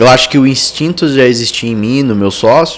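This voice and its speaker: Over noticeable background noise, a man with an Amazonian Brazilian accent speaks with ordinary pitch variation. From Amazonas, Brazil. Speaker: tech entrepreneur and investor. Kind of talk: podcast interview.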